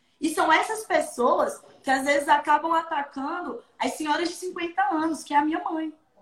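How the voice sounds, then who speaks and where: The woman's pitch is extremely high, with ordinary variation and an animated tone. She keeps a moderate pace and barely pauses at all. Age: 20s. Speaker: comedian and content creator. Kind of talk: casual interview.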